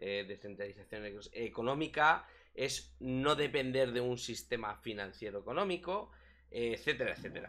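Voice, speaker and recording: Against a quiet background, a man with a Spanish accent speaks at a moderate pace, his tone bright and sharp and his intonation lively. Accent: Peninsular Spanish. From Spain, small town. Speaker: crypto streaming show host; stream co-host interviewer. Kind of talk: casual live stream chat. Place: home room. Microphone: headset.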